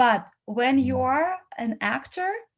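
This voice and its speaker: The speaker is a woman with a non-native accent. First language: not English. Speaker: casting platform founder. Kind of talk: feedback talk to actors. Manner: halting.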